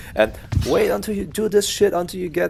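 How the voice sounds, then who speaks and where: With music in the background, a man in a German accent talks with very wide pitch swings. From Germany. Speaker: video game coach. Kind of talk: gameplay tutorial. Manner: casual with many fillers.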